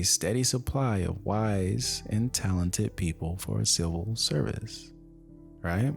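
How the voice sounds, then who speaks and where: Soft-spoken and relaxed in tone, a man with a very deep, low pitch makes very wide pitch swings as music plays in the background. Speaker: ASMR reader. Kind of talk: casual talk to camera, chatty asides. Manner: soft-spoken, slow, relaxed.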